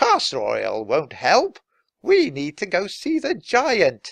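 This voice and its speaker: Someone uses a put-on character voice at a fairly high pitch, speaking at a fairly slow pace. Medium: read story.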